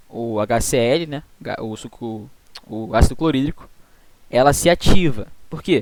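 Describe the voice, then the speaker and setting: In a Brazilian accent, a man speaks at a moderate pace with a medium pitch. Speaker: student tutor teaching veterinary physiology. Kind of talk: online tutoring lecture.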